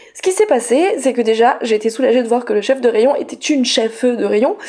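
Speaking at a fairly quick pace, a woman uses a high pitch with ordinary pitch variation. There is noticeable background noise. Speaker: teacher and feminist radio columnist. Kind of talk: scripted column. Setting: studio. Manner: soft-spoken.

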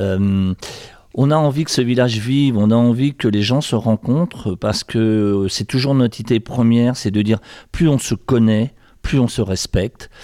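On a very clean recording with a silent background and a dry, close sound with no echo, a dark, mellow voice moves at a fairly slow pace with ordinary pitch variation and very even loudness. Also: man, medium pitch for a man. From France, Sarthe. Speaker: mayor. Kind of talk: interview. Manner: halting.

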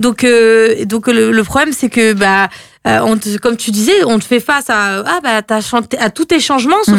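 Speaking in a plain, everyday voice, a woman with a fairly high pitch keeps a moderate pace, her intonation lively and her loudness very even, on a very clean, dry, close recording with no echo and a silent background. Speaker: radio host. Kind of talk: casual radio chat. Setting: radio studio. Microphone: speaks too close to the mic.

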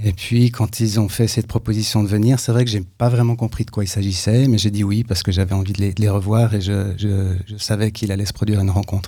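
A man talks very fast in a fairly low voice, with hardly any pauses. His intonation is flat and monotone, and there is noticeable background noise. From Switzerland. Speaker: dancer and choreographer. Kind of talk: radio interview.

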